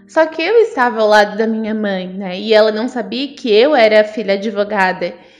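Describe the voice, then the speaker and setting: Over noticeable background noise, a woman talks at a moderate pace with hardly any pauses, her fairly high pitch showing ordinary variation. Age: 30s. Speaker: lawyer. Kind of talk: interview conversation.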